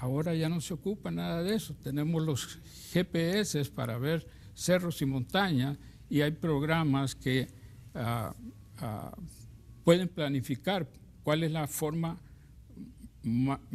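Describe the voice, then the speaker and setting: A man with a fairly high pitch and ordinary pitch variation speaks at a very slow pace. Long pauses come often. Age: 60s. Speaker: university professor and business administrator. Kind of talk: TV interview. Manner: hesitant.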